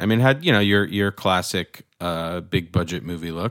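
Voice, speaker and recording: In a dry, close sound with no echo and a silent background on a very clean recording, a man with an ordinary speaking voice talks at a fairly slow pace and a fairly low pitch. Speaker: co-host, visual effects discussion panelist. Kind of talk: casual chat about film visual effects.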